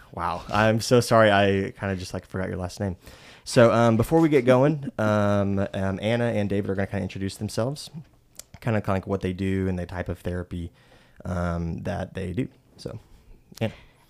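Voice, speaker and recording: This man has a fairly low pitch with ordinary pitch variation. He talks at a fairly quick pace. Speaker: podcast host. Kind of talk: casual group conversation. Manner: halting, many fillers.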